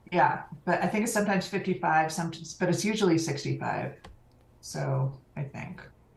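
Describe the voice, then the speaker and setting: Audible room echo surrounds a woman who speaks fairly quickly at a fairly low pitch with ordinary pitch variation. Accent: American. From California. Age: 50s. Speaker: online community program manager. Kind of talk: interview.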